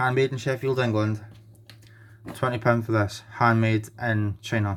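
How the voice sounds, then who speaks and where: A man with a Scottish accent speaks at a moderate pace and medium pitch, with fairly even intonation. He leaves long, frequent pauses. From Scotland. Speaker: knife collector and reviewer. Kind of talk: product review.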